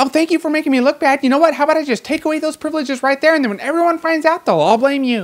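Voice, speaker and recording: Rushing along at a very fast pace, a woman puts on a high-pitched character voice. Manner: passive-aggressive, sarcastic.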